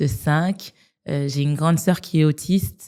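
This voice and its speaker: A woman speaks fairly slowly with a very deep, low pitch. Her tone is dark and mellow, and her intonation is fairly even. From France, Strasbourg, of Malian family. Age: 30s. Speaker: business lawyer. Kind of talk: interview podcast. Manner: casual, many hesitations.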